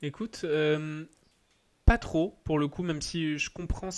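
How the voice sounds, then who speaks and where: At a very slow pace and with fairly even intonation, the voice comes through on a very clean recording with a silent background. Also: man. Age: 20s. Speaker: tennis entrepreneur. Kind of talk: casual interview.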